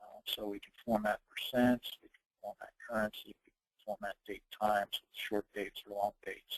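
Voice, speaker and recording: A man at a fairly slow pace, in a dry, close sound with no echo. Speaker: software consultant presenting a webinar. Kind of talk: software tutorial webinar. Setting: online webinar. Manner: casual with many filler words.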